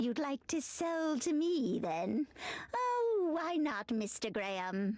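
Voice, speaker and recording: Using a put-on character voice, a woman talks at a very slow pace. Her pitch is high, with very wide swings. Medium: video game. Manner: friendly, chuckling, wry.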